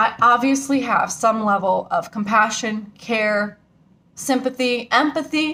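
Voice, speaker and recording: A woman is shouting loudly in a fairly high pitch with a bright, sharp tone. She speaks at a fairly slow pace with ordinary pitch variation. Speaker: vlogger. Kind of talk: angry rant to camera. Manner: loud, yelling; emotional.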